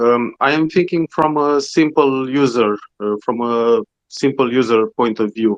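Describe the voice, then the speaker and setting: A man speaks with a non-native accent at a medium pitch. Pitch variation is ordinary, and the sound is dry and close with no echo. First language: not English. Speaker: community member asking a question. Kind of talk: question in audio chat space. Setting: online audio space. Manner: halting.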